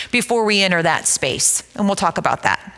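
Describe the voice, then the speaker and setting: A woman speaks at a fairly quick pace with ordinary pitch variation and a medium pitch. There is noticeable background noise. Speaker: counselor and trauma-care presenter. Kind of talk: church seminar presentation. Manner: loud, projecting voice; excited, energetic.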